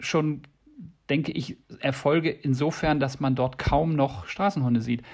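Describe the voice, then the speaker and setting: A man's somewhat breathy, fairly high voice at a moderate pace, with ordinary pitch variation and long, frequent pauses. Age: old. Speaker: animal welfare association founder. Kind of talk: interview.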